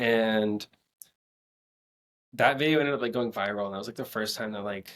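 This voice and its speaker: Fairly quick delivery in a normal speaking voice, with ordinary pitch variation. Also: man, medium pitch for a man. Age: 20s. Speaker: ALS awareness advocate on social media. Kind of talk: casual interview chat.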